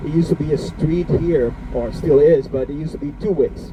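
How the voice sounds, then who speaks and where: Noticeable background noise runs under this clip. A man talks at a fairly quick pace. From Bonaire. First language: Papiamento. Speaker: tour guide. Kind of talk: guided tour commentary. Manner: halting, many fillers.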